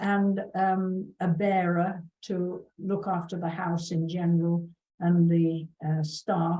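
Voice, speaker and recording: The voice is somewhat breathy with a dark, mellow tone, delivered at a very slow pace in a monotone, flat intonation. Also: woman, fairly low pitch for a woman. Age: 70s. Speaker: workshop host sharing memories. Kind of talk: personal storytelling. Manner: halting, with many fillers.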